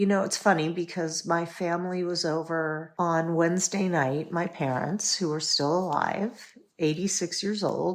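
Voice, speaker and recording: An unremarkable speaking voice moves at a fairly slow pace with fairly even intonation and hardly any pauses. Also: woman, fairly low pitch for a woman. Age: 60s. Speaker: educator and entrepreneur, podcast guest. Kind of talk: casual chat.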